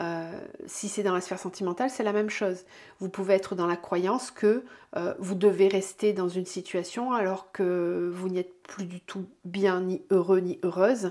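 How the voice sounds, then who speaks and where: At a moderate pace, a dark, mellow voice speaks with fairly even intonation on a very clean recording with a silent background. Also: woman, medium pitch for a woman. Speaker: tarot and energy reader. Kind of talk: weekly oracle card reading guidance. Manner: hesitant, many fillers.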